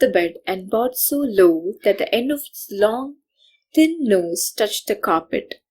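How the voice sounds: In a natural reading voice with lively intonation, the speaker reads against a quiet background.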